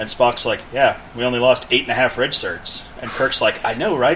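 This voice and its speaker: Over noticeable background noise, a man talks at a moderate pace with hardly any pauses. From grew up abroad in England and Germany, military family. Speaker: podcast co-host, gamer. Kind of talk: casual chat.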